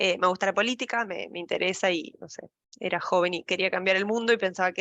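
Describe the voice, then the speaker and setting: A woman talks fairly quickly at a medium pitch, her intonation staying fairly even. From Argentina, La Pampa. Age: 30s. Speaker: data science lead. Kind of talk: casual talk to online audience.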